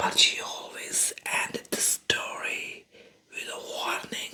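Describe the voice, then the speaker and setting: The voice is whispering at a very slow pace. Noticeable background noise is present. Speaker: ASMR creator. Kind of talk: whispered bedtime story for sleep. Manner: whispered.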